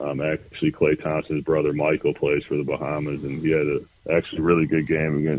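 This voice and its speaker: In a very deep, low voice, a man speaks with monotone, flat intonation. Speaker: professional basketball player. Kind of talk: interview. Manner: hesitant, many ums and uhs.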